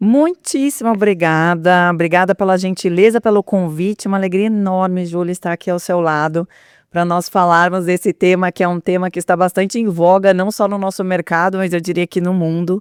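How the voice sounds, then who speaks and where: In a southern Brazilian accent, the speaker goes at a fairly quick pace with hardly any pauses. The recording is very clean, with a silent background. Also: woman, medium pitch for a woman, fairly even intonation, dry, close sound with no echo. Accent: gaúcho (southern Brazilian). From Rio Grande do Sul, Brazil (São Leopoldo). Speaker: HR and transformation executive. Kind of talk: interview conversation.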